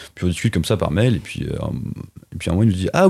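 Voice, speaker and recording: A man speaks in a somewhat breathy voice. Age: 20s. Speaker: animation production assistant. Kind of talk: casual interview chat.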